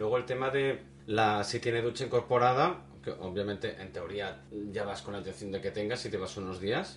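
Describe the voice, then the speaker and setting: A man's fairly low voice with lively intonation at a moderate pace, music in the background. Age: 40s. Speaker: podcast co-host. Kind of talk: casual chat.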